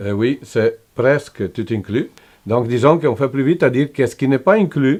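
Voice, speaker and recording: Speaking with an Italian accent, a man talks at a moderate pace in a medium pitch with lively intonation. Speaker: motorcycle tour operator. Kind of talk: interview answer.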